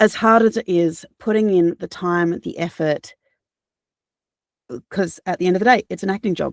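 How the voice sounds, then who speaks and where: A woman with an Australian accent at medium pitch, with long, frequent pauses and a dry, close sound with no echo. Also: ordinary pitch variation, moderate pace. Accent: cultivated Australian. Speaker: audiobook narrator. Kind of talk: interview answer. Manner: casual, conversational.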